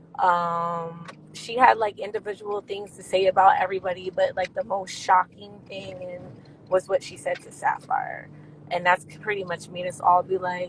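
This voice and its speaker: A woman with an American accent talks at a medium pitch in a monotone, flat intonation, her loudness swinging widely. Noticeable background noise runs underneath. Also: moderate pace. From New Jersey and Pennsylvania. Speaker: reality TV cast member and dancer. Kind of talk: interview.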